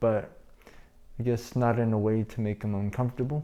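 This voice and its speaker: The man's tone is dark and mellow. He keeps his speech at a moderate pace. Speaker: healthcare worker vlogger. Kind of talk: casual vlog. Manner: hesitant, many fillers.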